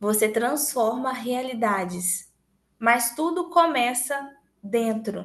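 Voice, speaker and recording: A high-pitched woman speaks with audible room echo. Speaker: sales trainer. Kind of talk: motivational training talk. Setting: recorded online meeting.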